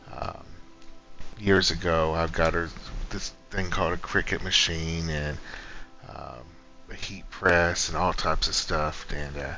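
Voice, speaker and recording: Over music in the background, a quiet man with a very deep, low voice speaks at a fairly slow pace with fairly even intonation and long, frequent pauses, and room echo is audible. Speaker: gaming streamer. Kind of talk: casual gameplay commentary. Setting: at home, early morning. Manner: quiet, subdued.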